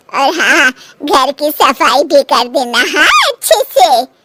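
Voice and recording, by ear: A cartoonish character voice at a fairly slow pace, with very wide pitch swings, in a dry, close sound with no echo. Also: woman.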